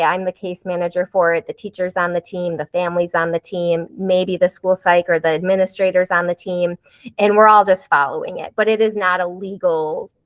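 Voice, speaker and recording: A woman with an American accent speaks with hardly any pauses. Her medium-pitched voice keeps a fairly even intonation. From US Midwest, Wisconsin. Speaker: school counselor. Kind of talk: presentation. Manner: fast.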